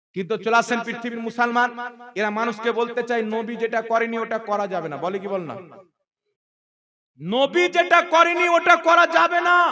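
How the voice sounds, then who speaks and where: A man's raised, projected voice, extremely high in pitch, with very wide pitch swings. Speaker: Islamic preacher. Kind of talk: religious sermon. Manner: impassioned, forceful.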